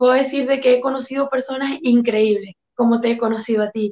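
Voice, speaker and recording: A woman at a high pitch, moderate pace and fairly even intonation, dry and close with no echo. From Venezuela. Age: 20s. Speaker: asylum seeker, former youth political leader. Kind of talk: testimony.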